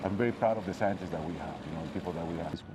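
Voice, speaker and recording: A man with a fairly low-pitched voice is heard against clearly audible background noise. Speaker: vaccine scientist and biotech executive. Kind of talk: interview during facility tour.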